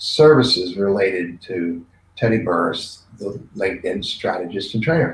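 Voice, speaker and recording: A man speaks with an American accent in a somewhat breathy voice. His pace is fairly slow and his pitch varies in an ordinary way. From Maryland. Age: 60s. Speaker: business trainer. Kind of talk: casual interview chat.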